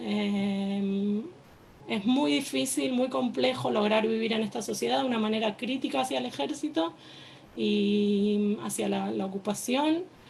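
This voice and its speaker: Against noticeable background noise, a woman with an Argentine accent speaks at a fairly slow pace, her medium pitch making very wide swings. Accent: Argentine Spanish, noticeable to listeners. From Argentina, Buenos Aires. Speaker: army reservist, activist. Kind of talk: personal testimony at panel event. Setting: stage with audience. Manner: hesitant, many fillers.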